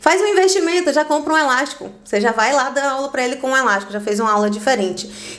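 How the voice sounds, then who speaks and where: With a Bahian accent and lively intonation, a woman speaks over noticeable background noise. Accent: Bahian Brazilian Portuguese. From Bahia, Brazil (Salvador). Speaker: physical education instructor. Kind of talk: podcast interview.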